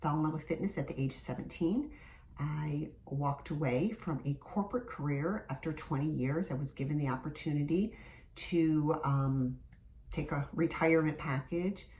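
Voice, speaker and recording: A woman with an American accent speaks at a moderate pace in a very deep, low pitch with ordinary pitch variation. Her tone is dark and mellow, and somewhat breathy. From US Midwest, Michigan. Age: 50s. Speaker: fitness instructor. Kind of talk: casual vlog talk to camera.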